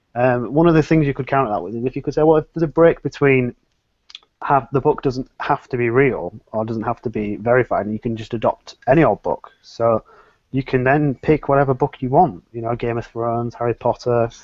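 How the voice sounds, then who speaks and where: A man with an English accent, medium pitch, ordinary pitch variation and a fairly quick pace. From England. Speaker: atheist panelist. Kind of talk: casual chat.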